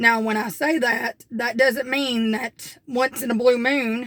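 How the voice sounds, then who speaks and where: A woman with an Appalachian accent, at a moderate pace with fairly even intonation. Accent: Southern US (Appalachian). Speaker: homestead vlogger. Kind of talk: casual vlog talk.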